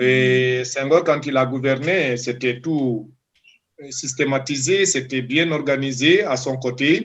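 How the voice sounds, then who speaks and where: A man with a Senegalese accent, medium pitch, ordinary pitch variation and a very slow pace. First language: Diola (speaking French). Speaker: doctoral student. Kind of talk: interview. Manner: halting.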